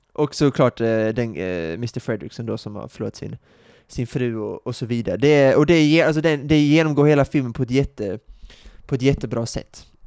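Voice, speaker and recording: At a fairly quick pace, a man talks in a normal speaking voice with ordinary pitch variation, recorded with a dry, close sound with no echo against a quiet background. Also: medium pitch for a man. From Sweden. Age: 30s. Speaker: podcast co-host. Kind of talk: casual chat.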